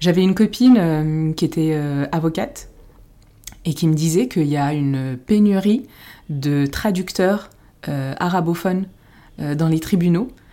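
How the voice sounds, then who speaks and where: With long, frequent pauses, a woman speaks at a fairly low pitch in a dark, mellow tone, captured in a very clean recording with a silent background. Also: ordinary pitch variation, fairly slow pace. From France, Paris, Moroccan family. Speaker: podcast co-host. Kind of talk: casual chat.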